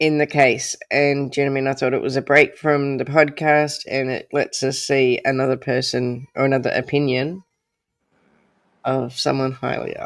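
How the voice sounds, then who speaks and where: Someone talks at a moderate pace with an Australian accent. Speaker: true crime livestream host. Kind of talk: casual livestream chat.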